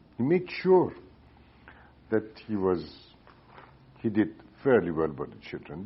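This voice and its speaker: A man with an Iranian accent and very wide pitch swings. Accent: Iranian (Persian) accent in English. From Iran, Tehran. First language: Persian. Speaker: economist, former central bank governor. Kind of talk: oral history interview answer. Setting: recorded interview in Cambridge, Massachusetts.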